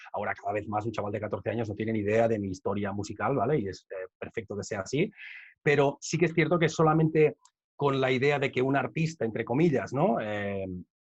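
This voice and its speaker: A man's somewhat breathy, medium-pitched voice with lively intonation at a fairly quick pace. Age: 30s. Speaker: rapper and educator. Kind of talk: conference Q&A. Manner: fast.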